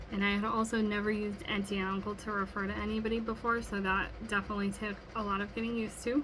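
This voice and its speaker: Very fast woman's voice with an American accent, medium pitch, flat monotone, hardly any pauses, noticeable background noise. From US Midwest, Wisconsin. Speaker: student. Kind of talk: recorded class assignment monologue. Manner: casual, many filler ums.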